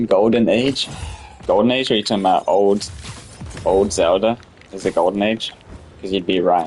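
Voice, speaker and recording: With music in the background, a man of fairly low pitch talks in an animated tone at a moderate pace. Long pauses come frequently. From UK. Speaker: gaming live streamer. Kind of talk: live stream chat while gaming. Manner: casual, animated.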